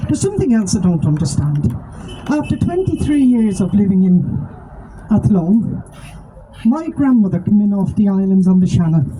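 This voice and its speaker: A woman with a Dublin accent, medium pitch, very wide pitch swings and very even loudness, over noticeable background noise. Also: moderate pace. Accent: Dublin Irish. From Ireland, Dublin. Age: 60s. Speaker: activist. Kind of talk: protest speech.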